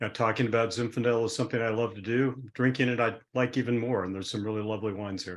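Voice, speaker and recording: Over a quiet background, a man talks at a very fast pace in a medium pitch with monotone, flat intonation. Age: 70s. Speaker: winemaker. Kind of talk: interview. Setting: video call.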